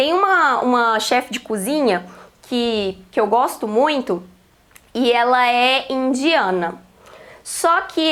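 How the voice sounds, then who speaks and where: A woman with a Minas Gerais accent speaks at a very slow pace in a high pitch with lively intonation. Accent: Mineira (Minas Gerais) Brazilian Portuguese. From Minas Gerais, Brazil.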